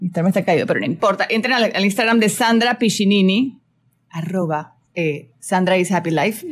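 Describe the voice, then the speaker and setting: Here a woman with a plain, everyday voice speaks at a medium pitch and a very even loudness. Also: ordinary pitch variation, fairly quick pace. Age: 40s. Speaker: spiritual coach and radio host. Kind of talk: casual chat. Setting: radio studio.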